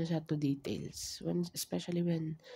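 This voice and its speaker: Soft-spoken and very slow, a man talks on a very clean recording with a silent background. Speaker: tarot reader. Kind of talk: tarot reading.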